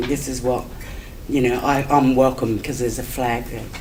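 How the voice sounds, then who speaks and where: Over noticeable background noise, a woman with an Australian accent talks with fairly even intonation. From Adelaide, South Australia. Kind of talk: conference talk. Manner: hesitant, conversational.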